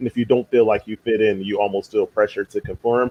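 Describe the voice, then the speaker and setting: A man with an American accent speaks in a plain, everyday voice at a fairly quick pace, with ordinary pitch variation. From Philadelphia. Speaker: podcast host. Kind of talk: casual chat.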